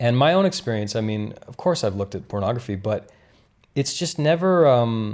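With an unremarkable speaking voice, a man talks at a fairly quick pace and medium pitch with lively intonation on a very clean recording with a silent background. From Canada (rural Ontario). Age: 30s. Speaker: podcast host. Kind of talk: casual interview conversation. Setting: kitchen.

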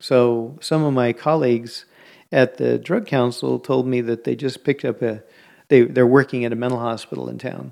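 With an American accent and a normal speaking voice, a man talks at a moderate pace and medium pitch, his intonation fairly even, over a quiet background. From US West Coast (San Francisco Bay Area). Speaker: art gallery co-owner. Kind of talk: interview conversation.

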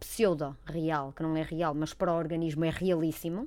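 A woman speaks in a normal speaking voice. Her pitch is fairly low and her pace moderate. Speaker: clinical psychologist. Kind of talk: casual chat. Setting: studio.

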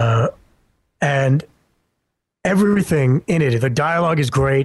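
Somewhat breathy and at a fairly slow pace, a man with a Canadian accent speaks at a fairly high pitch with ordinary pitch variation. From Canada. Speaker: voice actor. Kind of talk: casual chat.

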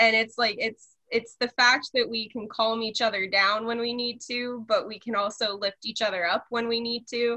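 A woman at a fairly high pitch and moderate pace, monotone and flat, with hardly any pauses. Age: 20s. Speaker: college student. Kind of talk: casual chat.

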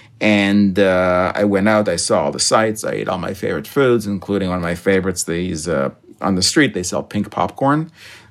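A man with a plain, everyday voice talks at a fairly quick pace with hardly any pauses, using a fairly low pitch and ordinary pitch variation, in a very clean recording with a silent background. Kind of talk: casual chat.

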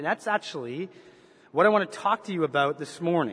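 A man speaks with lively intonation and a slight Canadian accent. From Canada. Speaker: pastor. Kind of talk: sermon. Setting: church.

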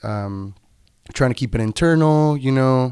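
A man talks at a moderate pace with a Spanish accent. The recording is very clean, with a silent background. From Tijuana, Baja California, Mexico. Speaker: brewer and incoming international student. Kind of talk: casual interview chat.

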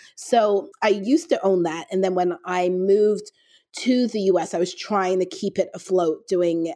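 A woman speaks in a dark, mellow tone with fairly even intonation. Her voice sounds dry and close, with no echo. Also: very clean recording, silent background. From Toronto, Canada (born in London, England). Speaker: author and speaker. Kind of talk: casual interview.

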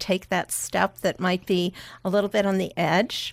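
A woman with an American accent uses an ordinary speaking voice at a medium pitch and a moderate pace, her sound dry and close with no echo. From Chicago, US Midwest. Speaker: children's book author. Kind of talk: radio interview. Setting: radio studio.

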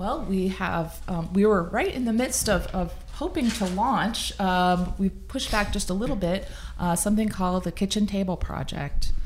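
With an American accent, a woman speaks at medium pitch and a moderate pace, with ordinary pitch variation and noticeable background noise. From US Midwest. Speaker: nonprofit meal program founder. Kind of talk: casual interview.

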